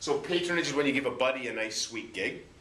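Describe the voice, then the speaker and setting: A man with a Canadian accent talks at a very fast pace. Room echo is audible, along with noticeable background noise. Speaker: high school social studies teacher. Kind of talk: classroom lecture.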